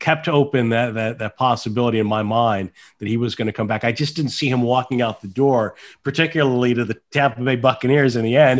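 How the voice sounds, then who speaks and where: A man with a medium-pitched, unremarkable speaking voice talks at a fairly quick pace with fairly even intonation over a quiet background. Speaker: NFL team radio play-by-play announcer. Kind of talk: sports interview answer.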